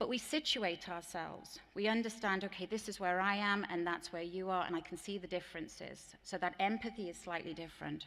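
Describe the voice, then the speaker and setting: With an English accent, a woman speaks at a fairly quick pace. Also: medium pitch for a woman, ordinary pitch variation. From England. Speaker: teacher trainer. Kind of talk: conference plenary talk. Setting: stage with audience.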